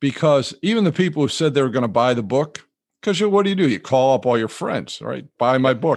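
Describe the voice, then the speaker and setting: A man with an ordinary speaking voice talks at a fairly quick pace and medium pitch, his intonation lively against a quiet background. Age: 60s. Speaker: retired financial advisor and author. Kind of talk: interview. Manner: relaxed, chuckling.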